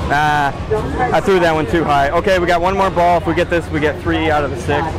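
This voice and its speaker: A man speaks very fast with ordinary pitch variation. The sound is dry with no echo, but loud background noise is present. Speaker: vlogger. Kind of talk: casual vlog chat. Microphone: lapel.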